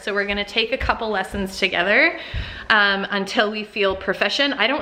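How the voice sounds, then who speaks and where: A woman's fairly high voice comes through against noticeable background noise. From Canada, Toronto area. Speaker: lifestyle vlogger. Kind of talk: casual vlog chat to camera. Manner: chatty, with many fillers.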